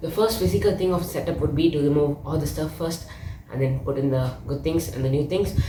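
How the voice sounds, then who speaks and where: Against noticeable background noise and audible room echo, a woman with a very deep, low pitch talks at a moderate pace with lively intonation. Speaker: tech youtuber. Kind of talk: unboxing tutorial. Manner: casual, conversational.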